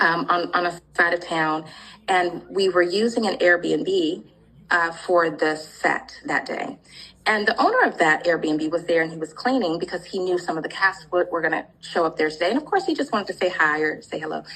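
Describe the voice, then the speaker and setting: A woman speaks at a moderate pace with a fairly low pitch and ordinary pitch variation. Noticeable background noise runs behind her. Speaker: comedy skit actress. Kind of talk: interview.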